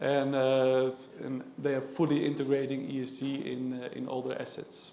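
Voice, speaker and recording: In a Dutch accent, the speaker goes at a fairly slow pace, with audible room echo. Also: man. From Netherlands. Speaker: panel moderator, index sales manager. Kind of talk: panel moderation at a conference. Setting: conference stage with audience. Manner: hesitant, many filler sounds.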